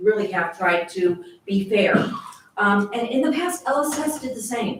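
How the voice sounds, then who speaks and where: This woman talks at a moderate pace. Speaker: resident speaking at public comment. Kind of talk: public comment at council meeting. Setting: city council meeting room. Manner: loud.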